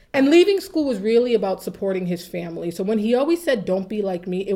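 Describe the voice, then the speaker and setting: A woman's medium-pitched, dark and mellow voice with an American accent, fairly quick pace and lively intonation, on a very clean recording with a silent background. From Waltham, Massachusetts. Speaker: HR association chapter president. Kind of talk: interview.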